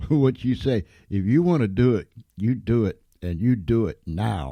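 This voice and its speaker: With an American accent, a man speaks fairly slowly at a fairly low pitch, his tone dark and mellow and his intonation lively. The recording is very clean and the background silent. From Pennsylvania, US. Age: 70s. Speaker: internet radio host. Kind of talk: interview on internet radio.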